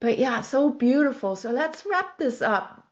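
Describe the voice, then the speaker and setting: A woman with a plain, everyday voice, lively intonation and a moderate pace. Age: 60s. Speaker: life coach and horse trainer. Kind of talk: podcast interview conversation.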